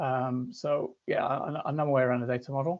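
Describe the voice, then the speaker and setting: A fairly high-pitched male voice with a British accent, monotone and flat, at a moderate pace. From United Kingdom. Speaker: conference speaker, data consultant. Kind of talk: conference presentation. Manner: hesitant, many fillers and repetitions.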